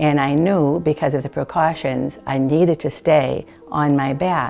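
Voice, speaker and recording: Music plays in the background as a woman with a very deep, low pitch speaks at a moderate pace with fairly even intonation. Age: 70s. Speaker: hip replacement patient. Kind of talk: testimonial interview.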